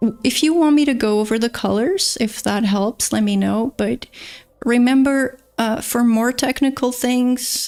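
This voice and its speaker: A woman's dark, mellow tone in a Portuguese accent, at a fairly slow pace. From Portugal. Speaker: painter and art teacher. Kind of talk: live painting demonstration stream. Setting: livestream. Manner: casual, with frequent filler words.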